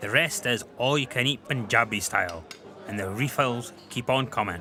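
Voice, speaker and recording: An enthusiastic man with a Scottish accent speaks at a moderate pace and medium pitch, with noticeable background noise behind him. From Scotland. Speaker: chef. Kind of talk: travel food show presenting to camera.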